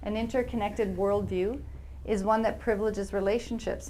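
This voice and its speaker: In a Canadian accent, a woman talks at a fairly quick pace and medium pitch, her intonation monotone and flat. Her tone is dark and mellow with vocal fry, and audible room echo surrounds her. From Alberta, Canada. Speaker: researcher and speaker on historical trauma. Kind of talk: lecture.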